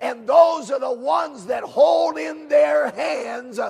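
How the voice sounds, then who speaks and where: A man is shouting at an extremely high pitch. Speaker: preacher. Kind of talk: sermon. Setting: camp meeting. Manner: fervent, exhorting, with frequent amens and hallelujahs. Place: hall.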